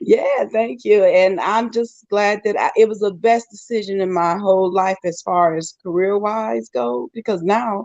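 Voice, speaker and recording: A woman has a normal speaking voice at a medium pitch. Her pace is moderate and her intonation lively. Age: 60s. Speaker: travel nurse. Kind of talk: panel discussion.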